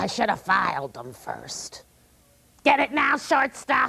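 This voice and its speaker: A woman uses a put-on character voice pitched high. She talks at a fairly slow pace. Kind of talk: comic overacting. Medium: stage play. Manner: gruff, bullying, mocking.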